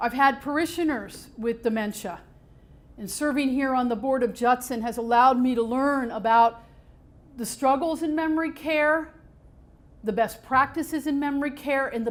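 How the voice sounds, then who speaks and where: A woman's high voice carries ordinary pitch variation as she talks at a moderate pace. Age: 60s. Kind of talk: public talk.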